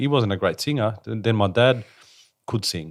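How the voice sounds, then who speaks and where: In a very clean recording with a silent background, a man with a Spanish accent and a fairly low pitch talks very fast. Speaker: interview host and singer. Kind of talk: interview. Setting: Sydney.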